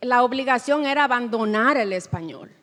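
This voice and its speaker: A woman's high-pitched voice at a moderate pace. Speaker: writer. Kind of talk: panel discussion. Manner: halting.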